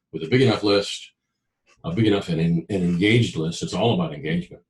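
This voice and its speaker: A man's very deep, low voice, somewhat breathy and very fast, with ordinary pitch variation. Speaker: business founder and author. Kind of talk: interview.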